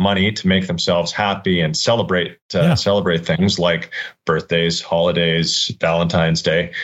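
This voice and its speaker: A man speaks at a moderate pace with a very deep, low pitch and hardly any pauses. His intonation is fairly even and his loudness very even. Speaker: business development director. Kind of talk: interview about sales figures.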